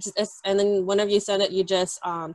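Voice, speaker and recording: Against a quiet background, a woman's voice comes through dry with no echo. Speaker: presenter. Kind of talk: tutorial presentation. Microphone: video call.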